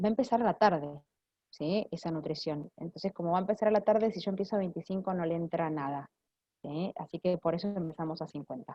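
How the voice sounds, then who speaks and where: Very fast pace with ordinary pitch variation. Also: woman, fairly low pitch for a woman. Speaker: clinical nutritionist. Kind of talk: Q&A after a lecture.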